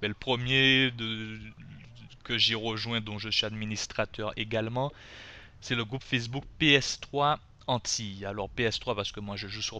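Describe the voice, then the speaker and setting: A man's fairly low voice with a bright, sharp tone, fairly even intonation and a moderate pace. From Guadeloupe. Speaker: gaming youtuber. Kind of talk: tutorial. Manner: casual, hesitant with fillers.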